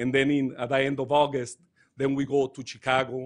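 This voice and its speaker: A man with a Mexican accent, medium pitch and a fairly quick pace. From Mexico. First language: Spanish. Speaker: touring dance company director. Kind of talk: speech at a council meeting. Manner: halting.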